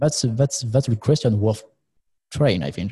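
Speaking with a French accent, a man has a dark, mellow, somewhat breathy tone at medium pitch with ordinary pitch variation. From France. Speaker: co-host. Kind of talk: casual interview chat. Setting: studio.

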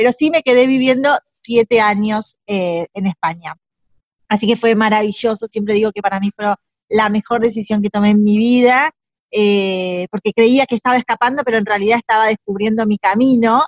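This is an ordinary speaking voice at a moderate pace. The intonation is fairly even. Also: woman, fairly high pitch for a woman. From Argentina, Buenos Aires province. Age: 40s. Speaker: stylist and decorator. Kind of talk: interview.

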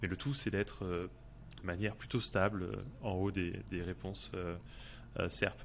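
With vocal fry and very deep, low pitch, a man talks at a fairly slow pace with lively intonation and long, frequent pauses. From France. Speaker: SEO freelancer, podcast co-host. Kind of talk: casual chat.

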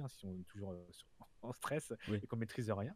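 A very fast, somewhat breathy male voice, fairly low in pitch, with ordinary pitch variation. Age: 40s. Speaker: freelance product designer and design trainer. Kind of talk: casual interview.

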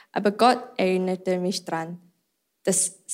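A woman speaks at a medium pitch with a non-native accent and fairly even intonation, recorded very cleanly against a silent background. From Malaysia. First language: not German (speaking German). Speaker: church member. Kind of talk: testimony.

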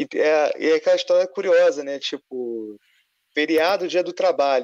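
The man's voice has ordinary pitch variation and a dry, close sound with no echo. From Rio de Janeiro (suburbs, north zone). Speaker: film critic and advertising illustrator. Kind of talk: casual chat.

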